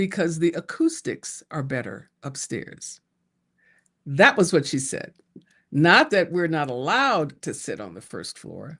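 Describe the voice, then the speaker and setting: A woman with an American accent, very wide pitch swings and big swings in loudness, fairly slow pace, quiet background. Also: fairly low pitch for a woman. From Detroit, US Midwest. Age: 70s. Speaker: pastor. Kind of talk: interview.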